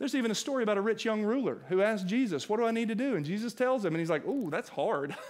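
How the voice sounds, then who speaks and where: A man talks at a very fast pace with very wide pitch swings. The background is quiet. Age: 40s. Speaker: pastor. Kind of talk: sermon. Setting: church. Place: church. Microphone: headset.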